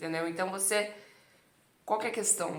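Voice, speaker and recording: Audible room echo around a woman's speech, her pitch variation ordinary. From Brazil. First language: Italian (speaking Portuguese). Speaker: Italian language teacher. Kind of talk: casual monologue to camera, language coaching.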